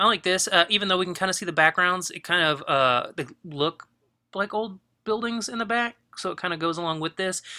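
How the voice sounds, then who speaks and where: A man with a high, bright, sharp voice projects it loudly at a fairly quick pace, the sound dry and close with no echo. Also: ordinary pitch variation. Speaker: photography teacher. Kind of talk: critique of student work. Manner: fast; casual, hesitant with fillers.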